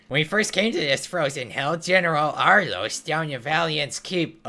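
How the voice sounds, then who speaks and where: A put-on character voice at a middle pitch and a moderate pace. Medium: game stream. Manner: long-winded, storytelling.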